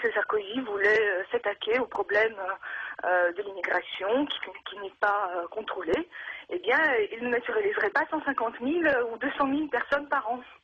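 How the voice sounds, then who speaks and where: At a moderate pace, the speaker uses lively intonation with noticeable background noise. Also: woman, fairly high pitch for a woman. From Russia. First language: Russian (speaking French). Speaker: radio caller. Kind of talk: call-in radio testimony. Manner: halting, many hesitations.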